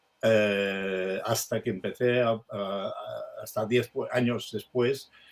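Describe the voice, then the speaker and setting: A man's medium-pitched voice stays monotone and flat as he speaks at a very slow pace. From Sabadell, Catalonia, Spain. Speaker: writer. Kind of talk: interview answer.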